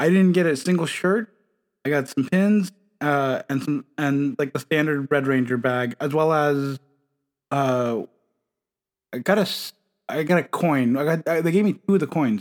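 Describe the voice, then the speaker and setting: A man in a normal speaking voice, fairly high in pitch, speaks fairly slowly with ordinary pitch variation and very even loudness, in a dry, close sound with no echo. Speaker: guest fan. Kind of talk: casual chat.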